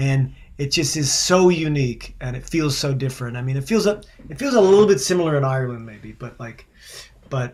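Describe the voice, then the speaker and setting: A man talks over noticeable background noise. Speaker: singer-songwriter. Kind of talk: casual chat. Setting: video call.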